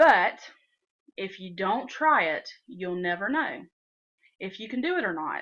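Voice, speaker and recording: A woman with a Southern US accent, a medium pitch, and a bright, sharp tone against a quiet background. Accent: southern US twang. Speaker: software tutorial maker. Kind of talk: tutorial. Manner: casual, with frequent fillers.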